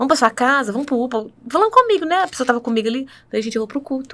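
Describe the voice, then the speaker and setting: Her voice is high, and she speaks at a very fast pace. The woman's intonation is lively. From northern Minas Gerais, Brazil. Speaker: church worship singer. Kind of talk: testimony.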